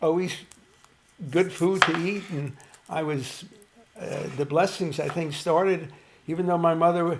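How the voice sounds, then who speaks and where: A man speaks in a high voice with fairly even intonation, leaving long, frequent pauses. Noticeable background noise runs under the recording. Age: 80s+. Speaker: elderly guest. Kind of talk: casual chat. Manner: halting, many fillers.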